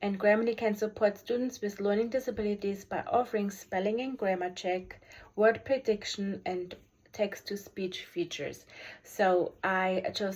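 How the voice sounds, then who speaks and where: A woman speaks with a German accent and fairly even intonation, in a very clean recording with a silent background. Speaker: special education teacher. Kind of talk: video review presentation. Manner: halting, many fillers.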